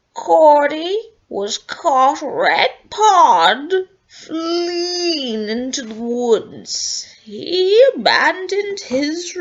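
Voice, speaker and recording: In a put-on character voice, a woman speaks very slowly at an extremely high pitch with very wide pitch swings. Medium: read story. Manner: stern, formal.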